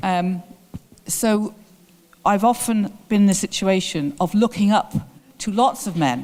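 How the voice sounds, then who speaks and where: The speaker is a woman. Her words come out in an English accent. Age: 60s. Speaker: theatre director. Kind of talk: lecture Q&A answer.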